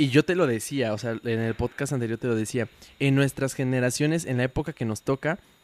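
In a normal speaking voice, a man talks at a fairly quick pace at medium pitch with ordinary variation, the sound dry and close with no echo. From Puebla, Mexico. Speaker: podcast co-host. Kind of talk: casual chat.

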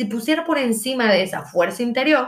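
With ordinary pitch variation, a woman's speech moves at a moderate pace. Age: 30s. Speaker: podcast host and abuse survivor. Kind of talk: personal monologue. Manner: halting.

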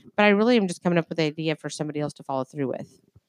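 Speaking at a very fast pace, a woman sounds animated in a fairly low voice, with a dry, close sound and no echo. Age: 40s. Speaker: podcast co-host, aunt of the host. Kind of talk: casual chat. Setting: home bedroom.

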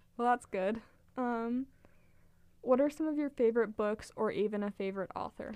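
Female speaker at a moderate pace, fairly high in pitch, with ordinary pitch variation and long, frequent pauses. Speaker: student podcast host. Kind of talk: interview.

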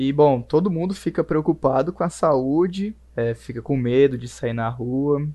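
A man speaks at a fairly slow pace with hardly any pauses. His fairly high pitch carries a dark, mellow tone and ordinary pitch variation. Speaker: communications student. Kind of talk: casual chat.

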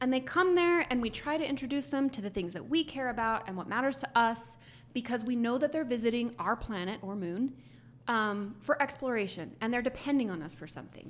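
A woman with an unremarkable speaking voice and an American accent talks at a fairly quick pace, her fairly high pitch carrying lively intonation. Her loudness swings widely, in a very clean recording with a silent background. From US. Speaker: HR executive. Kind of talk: casual chat.

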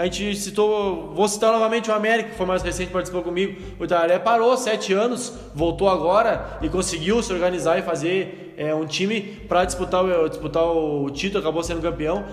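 A man at a high pitch, fairly quick and with hardly any pauses, amid noticeable background noise and audible room echo. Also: ordinary pitch variation. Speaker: podcast host interviewing local football club. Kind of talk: casual interview.

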